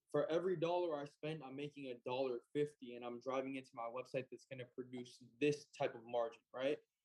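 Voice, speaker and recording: With an American accent, a man talks fairly quickly in a normal speaking voice, pitched fairly high, with fairly even intonation. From Utah. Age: 20s. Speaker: entrepreneur. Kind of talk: interview.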